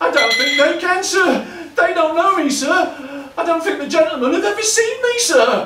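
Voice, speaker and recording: A man's put-on character voice, shaky and extremely high in pitch, at a moderate pace with slight echo. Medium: stage play. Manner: stammering, trembling.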